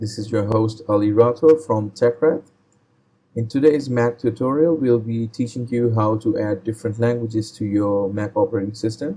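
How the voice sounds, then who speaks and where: In a Pakistani accent, the speaker talks at a moderate pace with a dark, mellow tone, a somewhat breathy sound and ordinary pitch variation. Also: man. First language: Urdu. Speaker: tech tutorial host. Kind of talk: tutorial.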